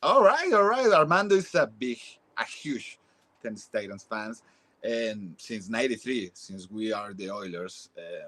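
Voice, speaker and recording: Speaking at a moderate pace with a Mexican accent, a man shows big swings in loudness. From Mexico City, Mexico. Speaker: football fan. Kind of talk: interview. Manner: halting.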